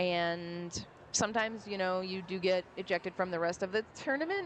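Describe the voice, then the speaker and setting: This is a woman speaking at a medium pitch. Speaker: roller derby announcer. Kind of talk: live commentary.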